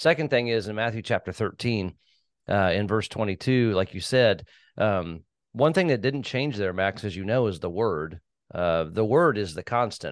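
Over a quiet background, a man with a plain, everyday voice speaks at a moderate pace with lively intonation and a fairly low pitch. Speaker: podcast host. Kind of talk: interview discussion on a church topic.

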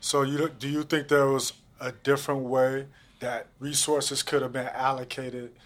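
Over a silent background in a very clean recording, a man with an American accent speaks at a moderate pace in a monotone, flat intonation. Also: fairly high pitch for a man. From St. Louis, Missouri (Jennings). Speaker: podcast host. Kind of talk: interview. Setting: studio.

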